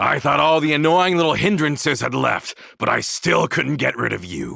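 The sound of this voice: Putting on a character voice, a man talks at a fairly high pitch with vocal fry, a bright, sharp tone, a slightly husky edge and ordinary pitch variation. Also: moderate pace.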